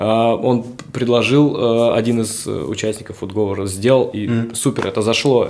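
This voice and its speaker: Noticeable noise behind a male voice at a moderate speed. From Siberia (Novosibirsk). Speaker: streetwear brand founder and dancer. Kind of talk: casual interview. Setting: hotel suite studio.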